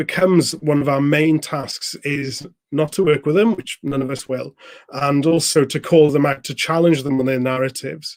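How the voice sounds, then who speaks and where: Speaking in a Welsh accent, this man has a fairly high voice. He keeps a moderate pace with fairly even intonation. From Wales. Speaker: youth political organizer, live stream host. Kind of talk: political interview. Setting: live stream.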